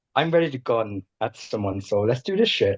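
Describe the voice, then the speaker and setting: In a quiet background, a man speaks at medium pitch and a moderate pace, with a dry, close sound and no echo. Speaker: game contestant. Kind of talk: casual chat.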